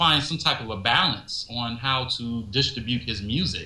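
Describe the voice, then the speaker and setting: In an American accent, a man talks fairly slowly in an ordinary speaking voice with ordinary pitch variation. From Chicago. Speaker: podcast guest, music fan. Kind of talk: casual chat.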